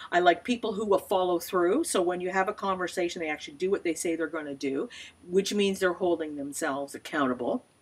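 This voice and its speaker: A woman's unremarkable speaking voice, fairly low in pitch, with ordinary pitch variation. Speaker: small business consultant. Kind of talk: tutorial. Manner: casual, with fillers.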